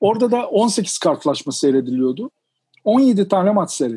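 A man's dark, mellow tone at a fairly slow pace. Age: 50s. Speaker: sports journalist and writer. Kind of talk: interview.

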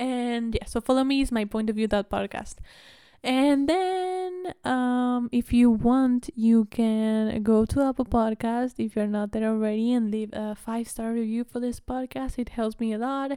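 With a Spanish accent, a woman speaks at a fairly slow pace and fairly high pitch, with ordinary pitch variation and a dark, mellow tone, in a very clean, dry, close recording with no echo and a silent background. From Argentina. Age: 20s. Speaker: podcast host and college student. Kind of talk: casual chat. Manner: animated.

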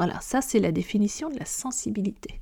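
This woman's voice is somewhat breathy, with a dark, mellow tone and a fairly high pitch. She speaks at a fairly slow pace. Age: 40s. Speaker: podcast host on hypersensitivity. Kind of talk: solo podcast monologue. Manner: hesitant with frequent fillers.

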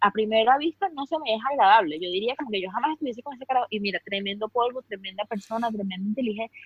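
A woman with a Venezuelan accent speaks at a very fast pace in an animated tone. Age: 30s. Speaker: fashion influencer. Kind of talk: casual interview chat.

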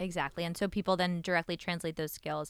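A New York accent at a very fast pace with fairly even intonation, on a very clean recording with a silent background. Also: woman. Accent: New York American. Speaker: venture capital investor. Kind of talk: podcast interview. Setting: studio.

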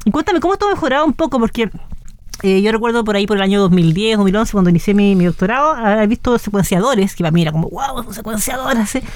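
Against noticeable background noise, a woman speaks at a very fast pace in a fairly high pitch with lively intonation. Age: 30s. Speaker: radio host. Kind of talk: casual interview. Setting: radio studio.

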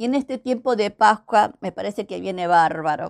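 On a very clean recording with a silent background, a woman speaks at a moderate pace with a fairly high pitch and very wide pitch swings. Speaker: pastor. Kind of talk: devotional message. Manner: hesitant, repeats words.

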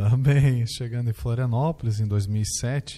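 Ordinary pitch variation marks this dark, mellow-toned voice. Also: man. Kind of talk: testimony.

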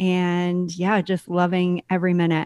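Recorded very cleanly against a silent background, a woman's voice sounds dry and close with no echo. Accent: Californian. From US West Coast, San Diego. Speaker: podcast operations manager. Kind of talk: interview.

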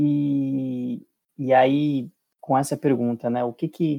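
Speaking with fairly even intonation, a man's fairly high-pitched voice carries a dark, mellow tone in a dry, close sound with no echo. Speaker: co-host. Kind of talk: casual interview conversation.

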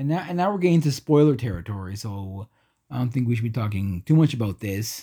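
Very fast and somewhat breathy, a man's medium-pitched voice has a dark, mellow tone and very wide pitch swings, on a very clean recording with a silent background. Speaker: horror movie podcast host. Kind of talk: casual chat. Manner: halting.

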